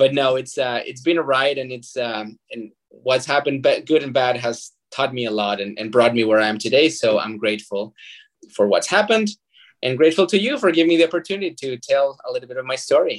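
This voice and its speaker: In a Spanish accent, a man talks at a fairly quick pace and medium pitch. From Mexico (Zacatecas). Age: 30s. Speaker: nonprofit fundraising manager and artist. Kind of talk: interview. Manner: halting, with repetitions.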